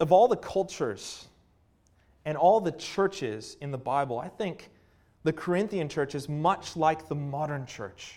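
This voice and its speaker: In a very clean recording with a silent background, a man with an ordinary speaking voice talks at a fairly slow pace, his fairly high pitch carried by lively intonation. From Canada. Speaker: assistant pastor. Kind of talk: sermon. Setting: church.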